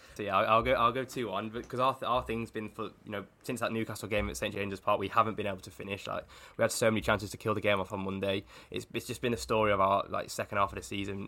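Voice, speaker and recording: Talking very fast, a man with a fairly low pitch has a bright, sharp tone, vocal fry, and ordinary pitch variation. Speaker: Liverpool-supporting football journalist. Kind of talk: casual football discussion.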